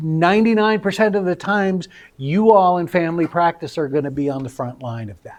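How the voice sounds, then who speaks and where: A man speaks with lively intonation. His voice rises and falls freely. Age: 60s. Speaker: speaker living with early-onset brain disease. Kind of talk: presentation to medical residents. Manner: halting, with filler words.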